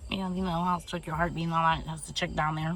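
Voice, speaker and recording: This is a woman with a very deep, low pitch. Her voice sounds somewhat breathy. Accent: American. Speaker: vlogger, Air Force enlistee. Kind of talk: casual vlog storytelling. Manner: fast.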